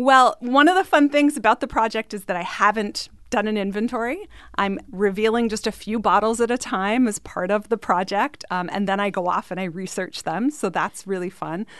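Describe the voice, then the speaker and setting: The pitch varies in an ordinary way and the tempo is moderate. It is an unremarkable speaking voice. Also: woman, fairly high pitch for a woman. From Canada. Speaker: mixologist. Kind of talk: casual radio interview.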